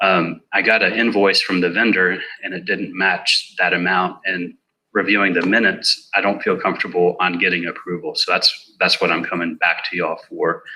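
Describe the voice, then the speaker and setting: Soft-spoken, a man talks at a moderate pace. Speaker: emergency services staff. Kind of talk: budget presentation.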